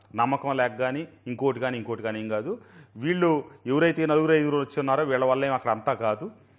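The man's voice sits at a medium pitch. The background is quiet. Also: ordinary pitch variation. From Andhra Pradesh. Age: 50s. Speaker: politician; politician interviewee. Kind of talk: interview. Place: studio. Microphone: lapel.

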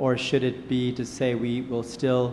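In a flat monotone, a man speaks at a fairly slow pace with medium pitch and a slightly mellow tone.

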